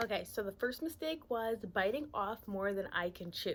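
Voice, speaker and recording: This woman's voice comes through in a very clean recording with a silent background. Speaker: YouTuber and gig delivery shopper. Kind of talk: casual vlog talk to camera. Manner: soft-spoken.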